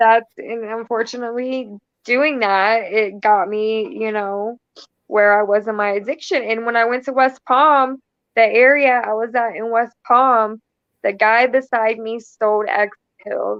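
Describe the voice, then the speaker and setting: In a plain, everyday voice, a woman with an American accent speaks at a fairly slow pace, her pitch fairly high and her intonation fairly even. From Florida. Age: 20s. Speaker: guest on recovery talk show. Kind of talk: casual interview.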